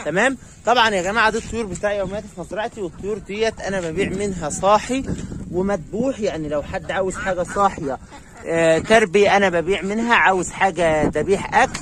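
Speaking at a fairly quick pace, a man with a high pitch for a man shows ordinary pitch variation, with a dry sound, no echo, and light background noise. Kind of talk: casual vlog chat. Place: farm. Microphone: phone near.

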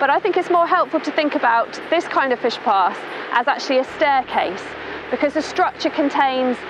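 A woman speaks at a moderate pace in a high voice with very wide pitch swings, the sound dry with no echo and noticeable background noise. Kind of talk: explainer to camera. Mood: friendly, informative. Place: waterside.

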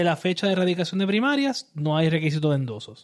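A man with lively intonation. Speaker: political podcast co-host. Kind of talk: casual political discussion.

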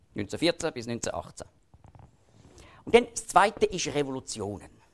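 Vocal fry runs through a man's fairly high voice in a Swiss accent. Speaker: lecturer on Bible prophecy. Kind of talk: public lecture.

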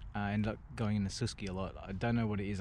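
In a normal speaking voice, someone talks at a fairly quick pace with a dry sound, no echo and light background noise. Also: man. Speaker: skateboarder vlogger. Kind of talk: casual vlog chat. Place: street. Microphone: phone near.

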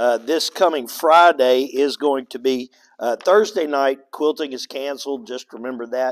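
Here a man talks at a fairly slow pace. His pitch varies in an ordinary way. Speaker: pastor. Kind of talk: church announcements. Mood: relaxed, joking. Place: church.

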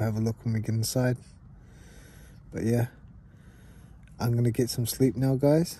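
His dark, mellow tone is somewhat breathy, with fairly even intonation and a dry sound with no echo. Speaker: camping vlogger. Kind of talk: casual vlog chat. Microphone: phone near.

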